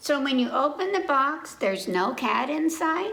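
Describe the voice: A woman in a put-on character voice speaks at a fairly slow pace and high pitch, with big pitch swings, vocal fry and audible room echo. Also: fairly bright tone.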